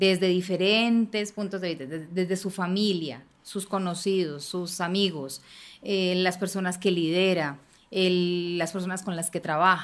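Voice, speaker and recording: Here is an ordinary speaking voice at a fairly slow pace. The intonation is fairly even. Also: woman, medium pitch for a woman. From Colombia, Bogotá. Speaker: politician, congresswoman. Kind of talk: panel conversation.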